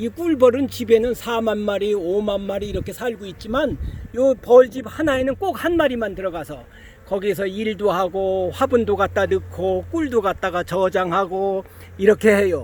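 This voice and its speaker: Lively intonation from a man at a high pitch, with noticeable background noise. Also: moderate pace. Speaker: beekeeper; Vietnam War veteran. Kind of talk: educational talk to camera. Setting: outdoors.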